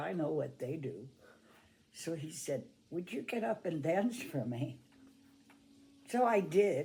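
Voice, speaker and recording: A woman speaks with an American accent. Her voice has vocal fry and a dark, mellow tone. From New York, US. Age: 90s. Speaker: Irish dance teacher. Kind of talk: oral history interview. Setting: at her home.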